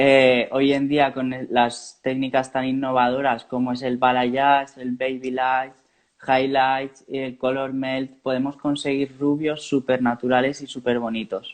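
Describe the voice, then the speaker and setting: The delivery is monotone and flat. It moves at a fairly slow pace. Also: man. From Valencia region, Spain (Turís). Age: 20s. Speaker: hairdresser, salon owner. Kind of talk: live online interview.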